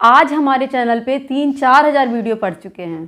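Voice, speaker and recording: A woman speaks at a moderate pace with a high pitch. The background is quiet. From Basti, eastern Uttar Pradesh, India; Uttar Pradesh. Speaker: YouTuber, dholak folk singer; YouTuber. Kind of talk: casual vlog talk to viewers. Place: home room. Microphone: phone near.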